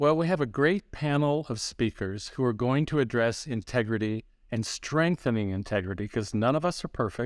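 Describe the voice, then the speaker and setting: A man with an unremarkable speaking voice, medium pitch and lively intonation, at a moderate pace with hardly any pauses, very even loudness, on a very clean recording with a silent background. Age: 60s. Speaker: church leadership consultant. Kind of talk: podcast interview.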